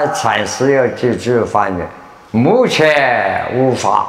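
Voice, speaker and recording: A man at medium pitch, very slow and with lively intonation, in a room with audible echo. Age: 80s+. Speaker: Buddhist teacher and lecturer. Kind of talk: lecture to students. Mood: humorous, smiling. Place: hall. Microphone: lapel.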